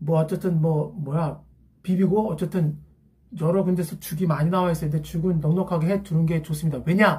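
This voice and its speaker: This man has a high pitch and a dark, mellow tone, with monotone, flat intonation. He talks at a moderate pace with very even loudness. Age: 50s. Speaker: academy teacher. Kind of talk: casual talk to camera.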